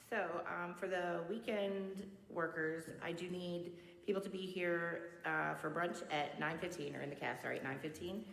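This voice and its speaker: Amid noticeable background noise and audible room echo, a woman with a fairly low pitch speaks at a moderate pace with fairly even intonation. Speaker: school cafeteria staff. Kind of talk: announcements to school assembly. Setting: school chapel assembly, live-streamed. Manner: loud.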